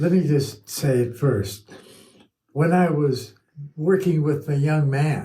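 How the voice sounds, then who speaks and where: A man's somewhat breathy voice, fairly high in pitch, with a dark, mellow tone and lively intonation. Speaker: sobriety volunteer speaker. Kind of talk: testimony. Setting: studio.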